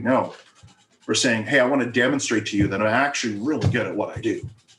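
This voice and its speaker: With ordinary pitch variation, a man talks in a medium-pitched voice. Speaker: marketing consultant. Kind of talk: workshop presentation. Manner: fast.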